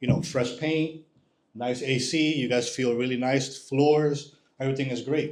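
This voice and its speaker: The speaker has an ordinary speaking voice, with fairly even intonation and a moderate pace. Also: man. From New York area, born in Dominican Republic. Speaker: home inspector. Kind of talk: presentation to live audience. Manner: conversational.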